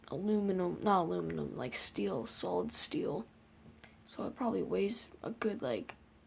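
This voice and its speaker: The speech is quiet and moves at a moderate pace. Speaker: video reactor. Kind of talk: reaction commentary. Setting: at home early morning, family asleep. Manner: halting.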